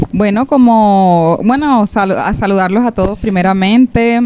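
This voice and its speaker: A woman at a medium pitch, speaking at a fairly slow pace with ordinary pitch variation, over noticeable background noise. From Colombia, Cartagena. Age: 30s. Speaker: church member. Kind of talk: testimony. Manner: halting.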